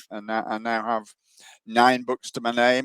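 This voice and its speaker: With an English accent, a man speaks at a moderate pace and medium pitch, his intonation monotone and flat, in a dry, close sound with no echo. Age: 70s. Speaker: author and researcher. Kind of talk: interview.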